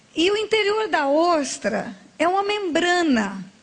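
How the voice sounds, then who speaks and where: Through noticeable background noise and audible room echo, a woman speaks with very wide swings in pitch. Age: 60s. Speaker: pastor. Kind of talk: sermon.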